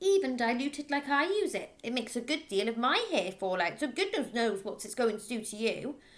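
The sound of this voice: What we hear is someone reading in an unforced voice.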